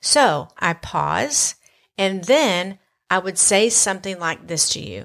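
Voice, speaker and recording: On a very clean recording with a silent background, a woman with a Southern US accent speaks very slowly at a medium pitch, with lively intonation and vocal fry. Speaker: podcast host. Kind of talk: casual conversational podcast.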